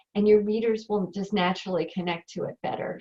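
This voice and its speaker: Somewhat breathy, a woman with an American accent speaks with fairly even intonation. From New York. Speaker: writing coach. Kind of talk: online training webinar. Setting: conference call.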